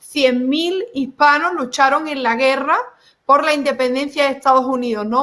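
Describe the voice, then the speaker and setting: Projecting in a raised voice, a woman speaks at a high pitch and a moderate pace, her tone bright and sharp. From Spain, Seville. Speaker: online show host. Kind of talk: panel discussion.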